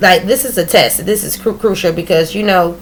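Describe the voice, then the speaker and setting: Fairly quick delivery with ordinary pitch variation and noticeable background noise. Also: woman. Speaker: pre-kindergarten teacher. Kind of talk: casual vlog talk. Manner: fast; halting with self-corrections.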